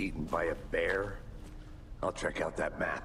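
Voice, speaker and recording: The speaker uses a put-on character voice. Background noise is clearly audible. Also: man, moderate pace. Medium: video game. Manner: deadpan, gravelly.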